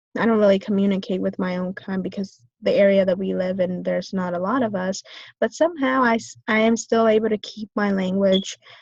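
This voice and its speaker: Her pace is fairly quick and her voice somewhat breathy. This woman has a medium pitch with ordinary pitch variation. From US, Vietnamese-American family. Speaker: business student. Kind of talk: class presentation. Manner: hesitant, many fillers.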